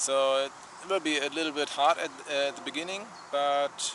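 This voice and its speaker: Noticeable background noise accompanies a man with a German accent who speaks at a moderate pace in a fairly high pitch. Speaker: travel vlogger. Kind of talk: casual vlog talk. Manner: halting, many fillers.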